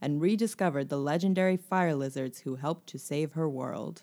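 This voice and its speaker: A woman with an unremarkable speaking voice and a fairly low pitch talks at a moderate pace, with ordinary pitch variation. The recording is very clean, with a silent background. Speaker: book podcast co-host. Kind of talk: casual chat. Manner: playful, giggly.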